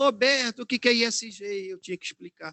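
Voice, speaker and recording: A man talks at a moderate pace. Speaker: ESG management specialist, speaker. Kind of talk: webinar talk.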